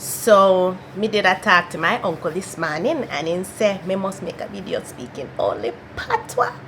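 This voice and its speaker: Against noticeable background noise, a woman at medium pitch talks at a moderate pace with hardly any pauses. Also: ordinary pitch variation. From Canada. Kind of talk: casual talk to camera.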